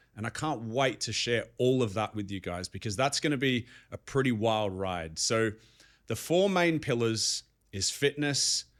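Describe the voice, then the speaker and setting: With an Australian accent, a man talks at a fairly slow pace with lively intonation. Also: medium pitch for a man, very clean recording, silent background. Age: 30s. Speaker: life coach vlogger. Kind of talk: motivational monologue.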